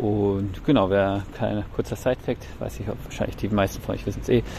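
Noticeable background noise sits under this recording. A man speaks at a moderate pace. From Bavaria, Germany. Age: 30s. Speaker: teacher, baseball fan contributor. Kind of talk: recorded monologue season review.

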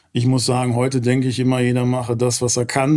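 The voice belongs to a man with a medium pitch. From Ruhr area, Gelsenkirchen. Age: 50s. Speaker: real estate company founder. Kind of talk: interview.

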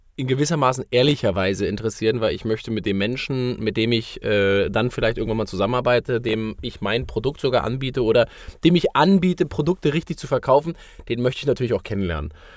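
On a very clean recording with a silent background, a man at medium pitch talks at a very fast pace with lively intonation. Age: 30s. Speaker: sales consultant and podcast co-host. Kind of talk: casual chat. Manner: hesitant with many fillers.

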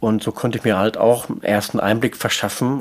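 A man speaks at a moderate pace with a fairly low pitch. It is an ordinary speaking voice. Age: 50s. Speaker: stepfather in a patchwork family. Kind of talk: interview.

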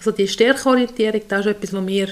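The woman's pitch is medium, with ordinary variation. She talks at a fairly quick pace. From Switzerland, Lower Toggenburg. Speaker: special education teacher, podcast co-host. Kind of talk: casual chat.

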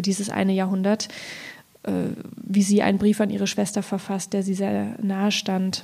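A woman is speaking. Her pitch is medium. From Thuringia, Ilmenau. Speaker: poet. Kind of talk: reading aloud; public conversation.

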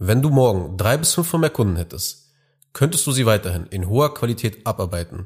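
A somewhat breathy male voice at a very fast pace, lively intonation, and a very clean recording over a silent background. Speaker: business podcast host and consultant. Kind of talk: solo monologue podcast.

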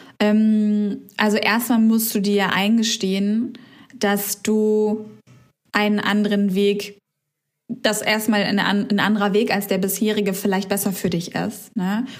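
Audible room echo surrounds a woman speaking at a very slow pace in a medium pitch. Her delivery is monotone and flat, with very even loudness. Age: 30s. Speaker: podcast co-host, former self-employed marketer. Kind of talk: casual chat.

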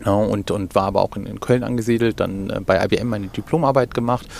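Against noticeable background noise, a man with a fairly low pitch speaks at a moderate pace with ordinary pitch variation. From Germany, Cologne. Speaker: retail executive. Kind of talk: interview. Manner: halting, many fillers.

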